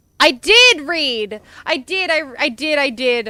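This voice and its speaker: An Australian accent carries this woman's raised, projected voice, with a bright, sharp tone and an animated tone. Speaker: VTuber streamer. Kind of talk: livestream gaming chat.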